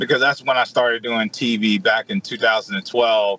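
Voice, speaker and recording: In a dry, close sound with no echo, a man with a Mississippi accent speaks at a moderate pace, his medium pitch showing ordinary variation. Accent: US Southern (Mississippi). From Mississippi (Edwards, rural farm). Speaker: chef. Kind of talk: radio interview.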